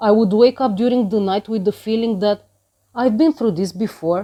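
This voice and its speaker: At a moderate pace, a woman speaks in a medium pitch with a dark, mellow tone. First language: Romanian. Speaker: vlogger sharing personal experience. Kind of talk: personal testimony.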